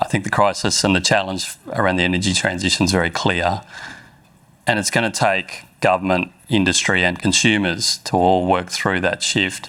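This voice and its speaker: In an Australian accent, a man with a very deep, low pitch and a bright, sharp tone speaks at a moderate pace with very even loudness and monotone, flat intonation. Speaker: mining executive. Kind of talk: panel discussion.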